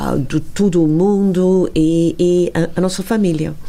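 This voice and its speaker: Music plays in the background as a woman speaks in a strong English accent. Her pitch is fairly low and her intonation fairly even. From England. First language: English (speaking Portuguese). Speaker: wine estate owner. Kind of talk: interview. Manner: halting.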